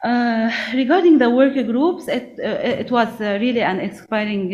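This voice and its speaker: A woman speaks with a high pitch and lively intonation. Room echo is audible, along with noticeable background noise. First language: not English. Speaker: national SME policy coordinator. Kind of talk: conference panel remarks. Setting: conference event. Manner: halting, many fillers.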